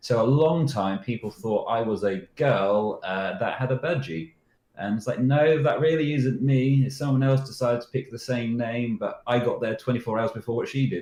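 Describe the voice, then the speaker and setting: Hardly pausing, a man with a British accent talks at a moderate pace in a somewhat breathy voice of medium pitch with ordinary pitch variation. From Britain. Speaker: security researcher. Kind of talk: interview answers. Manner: casual storytelling.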